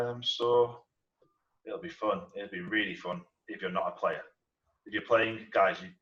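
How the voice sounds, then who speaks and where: This man speaks in a northern English accent. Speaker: dungeon master. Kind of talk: casual chat. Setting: live stream. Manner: hesitant, many fillers.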